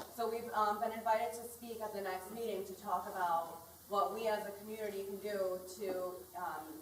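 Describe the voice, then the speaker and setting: A woman's voice with fairly even intonation, noticeable background noise and audible room echo. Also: medium pitch for a woman, moderate pace. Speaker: community organizer, recovering addict. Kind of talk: public community meeting remarks. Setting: community meeting in school hall. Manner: loud.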